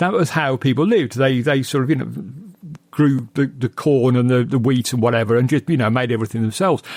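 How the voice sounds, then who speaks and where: A man with a British accent speaks at a very fast pace, his medium pitch showing ordinary variation and his loudness very even. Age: 60s. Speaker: podcast guest discussing horror films. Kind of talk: casual film discussion.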